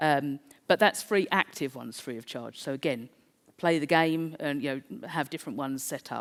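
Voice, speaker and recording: A woman with a South East London accent speaks in a very deep, low voice on a very clean recording with a silent background. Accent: South East London, th-fronting. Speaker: conference speaker. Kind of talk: presentation.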